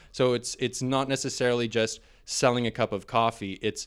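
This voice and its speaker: A man's plain, everyday voice with a Canadian accent, medium in pitch, fairly even in intonation, at a moderate pace, in a very clean recording with a silent background. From Ontario, Canada (St. Catharines, Niagara). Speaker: business owner, network cabling and TV installer. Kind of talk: casual interview.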